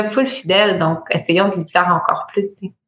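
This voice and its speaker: In a Quebec accent, a woman talks at a moderate pace with a medium-pitched voice. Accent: Québécois French. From Bas-Saint-Laurent, Quebec. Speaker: entrepreneur, boutique founder. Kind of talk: casual interview.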